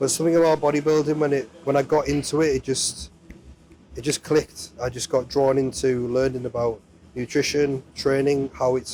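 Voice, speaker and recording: A man talks at a moderate pace in a fairly high voice with fairly even intonation. Noticeable background noise sits behind him. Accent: English. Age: 30s. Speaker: amateur bodybuilder. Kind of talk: interview.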